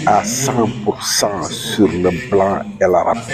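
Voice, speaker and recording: The speaker is a man. His voice has a dry, close sound with no echo. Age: 80s+. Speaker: retired aviation technician and author. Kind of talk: street interview. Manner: halting, many repetitions.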